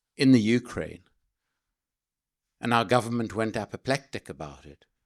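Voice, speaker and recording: A man is speaking. He has a South African accent. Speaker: political speaker, anti-arms-trade campaigner. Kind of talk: speech to an audience. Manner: passionate, emphatic.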